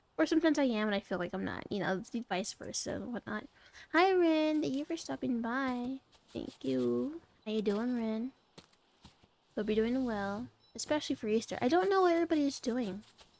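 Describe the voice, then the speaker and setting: Her pitch is high and swings very widely. The woman keeps a moderate pace, broken by long, frequent pauses. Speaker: VTuber streamer. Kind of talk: casual live stream chat while gaming. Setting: live stream. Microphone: recent mic problems, repositioned mic.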